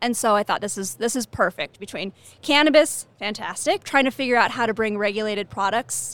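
Speaking in an ordinary speaking voice with an American accent, a woman talks at a fairly quick pace and fairly high pitch with lively intonation, the very clean recording dry and close with no echo against a silent background. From California. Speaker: cannabis company executive. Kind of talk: interview. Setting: trade show.

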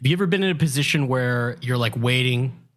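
A man speaks at a fairly quick pace with a medium pitch. His voice is somewhat breathy. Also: very clean recording, silent background. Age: 30s. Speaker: podcast co-host. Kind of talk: casual chat.

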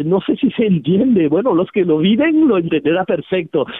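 A man's high voice with very wide pitch swings. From Switzerland, Geneva. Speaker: flower therapy teacher. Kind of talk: radio interview. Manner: halting, repeats words.

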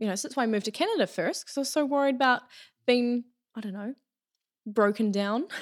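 A woman with a New Zealand accent talks at a very fast pace and high pitch, with ordinary pitch variation and big swings in loudness. Long, frequent pauses break up her speech in a very clean recording with a silent background. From New Zealand, Taranaki. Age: 20s. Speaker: hairdresser. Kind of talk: casual chat.

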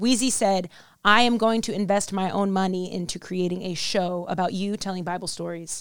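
Recorded very cleanly against a silent background, a woman speaks at medium pitch and a moderate pace. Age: 20s. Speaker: podcast host and actress. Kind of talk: casual chat. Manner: harsh, aggressive tone.

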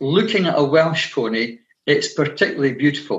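Here a man with a Scottish accent talks at a fairly high pitch. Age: 60s. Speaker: retired teacher and pony breeder. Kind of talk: interview.

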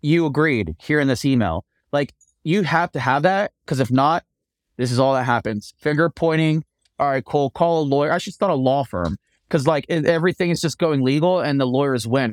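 With an American accent and an ordinary speaking voice, a man talks fairly quickly at a fairly high pitch with ordinary pitch variation, recorded dry and close with no echo, very clean, against a silent background. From US East Coast. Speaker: TV renovation host and contractor. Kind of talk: interview.

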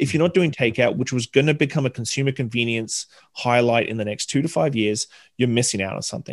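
A man with an Australian accent speaks very fast at a medium pitch with ordinary pitch variation. The sound is dry and close, with no echo. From Southeast Queensland, Australia. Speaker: bartender and hospitality consultant. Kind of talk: casual interview chat.

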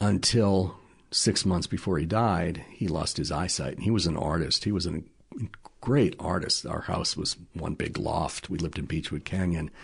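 Against a quiet background, a man with an American accent speaks at a moderate pace in a very deep, low pitch, somewhat breathy, with ordinary pitch variation. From Massachusetts North Shore. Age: 60s. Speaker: television producer. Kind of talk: casual chat.

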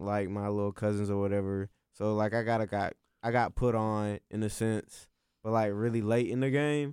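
A man speaks in an ordinary speaking voice, fairly low in pitch, at a moderate pace with fairly even intonation. The very clean recording has a silent background and a dry, close sound with no echo. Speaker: guest. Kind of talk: casual chat. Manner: blunt.

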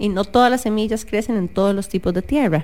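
Her pitch medium and her pitch variation ordinary, a woman talks in a plain, everyday voice. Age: 30s. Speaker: podcast co-host, neuroscientist. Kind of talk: casual chat. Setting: radio studio.

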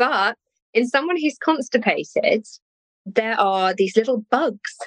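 A woman speaks with an English accent and ordinary pitch variation. The sound is dry and close, with no echo. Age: 50s. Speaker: nutritional therapist. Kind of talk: interview.

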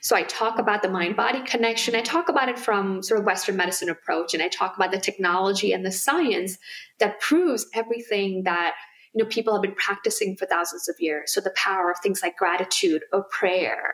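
A woman speaks in an ordinary speaking voice at a medium pitch. Her pace is fairly quick, with ordinary pitch variation. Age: 40s. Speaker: physician and integrative medicine director. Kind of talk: interview.

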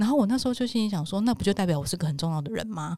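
This voice has a dark, mellow tone and lively intonation on a very clean recording with a silent background. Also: woman. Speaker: podcast host. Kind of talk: casual chat. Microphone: new microphone.

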